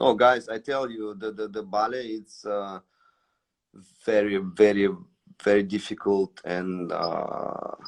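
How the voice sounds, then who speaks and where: The delivery is very slow, broken by long, frequent pauses, with monotone, flat intonation. Loudness swings widely throughout. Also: man, fairly low pitch for a man. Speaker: ballet dancer. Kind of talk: live stream chat. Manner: halting, many repetitions.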